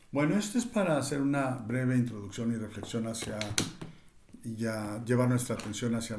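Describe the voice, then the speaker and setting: There is audible echo from the room. The intonation stays fairly even. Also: man. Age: 60s. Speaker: cultural commentator. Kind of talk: reading aloud; reflective monologue. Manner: halting, with fillers.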